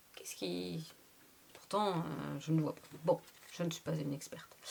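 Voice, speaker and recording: Vocal fry runs through this woman's speech. She keeps a moderate pace. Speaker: tarot reader. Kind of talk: tarot reading monologue. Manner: animated.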